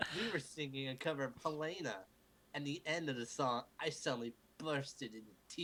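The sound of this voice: This is an unforced reading voice. It reads the words without strain.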